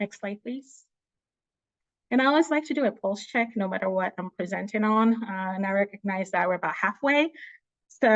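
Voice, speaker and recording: Over a quiet background, a woman with an ordinary speaking voice talks at a fairly high pitch with ordinary pitch variation, the sound dry and close with no echo. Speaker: presenter, public health policy researcher. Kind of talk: virtual panel presentation.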